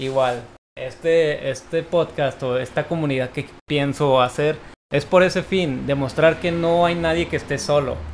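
Here a man talks at a fairly slow pace in a normal speaking voice. His pitch is fairly high and his intonation fairly even. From Mexico, Tijuana. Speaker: podcast host. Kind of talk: casual chat.

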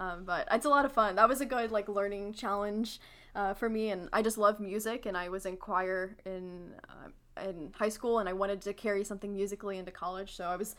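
Speaking at a fairly quick pace, a woman has a Midwestern American accent. Her pitch is medium and her intonation fairly even. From Missouri, St. Louis. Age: 20s. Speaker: university student. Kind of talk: casual chat.

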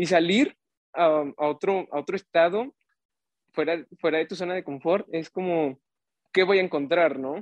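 A man's high-pitched voice, broken by long, frequent pauses. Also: ordinary pitch variation, fairly slow pace. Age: 20s. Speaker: youth ministry volunteer. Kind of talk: casual chat.

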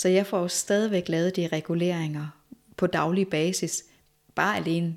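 In monotone, flat intonation, a woman speaks at a fairly low pitch. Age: 40s. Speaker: movement teacher, former nurse. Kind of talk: interview conversation.

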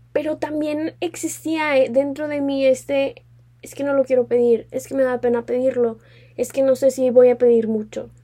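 This woman has a high pitch and a dark, mellow tone. Her intonation is fairly even. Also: moderate pace. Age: 20s. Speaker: podcast host, law student. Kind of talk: casual solo podcast chat.

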